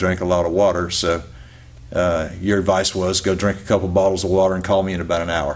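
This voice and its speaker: Amid audible room echo, a man with a very deep, low pitch talks at a fairly quick pace. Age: 60s. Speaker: dog trainer and retired policeman sharing health testimony. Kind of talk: testimony interview. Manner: halting, repeats words.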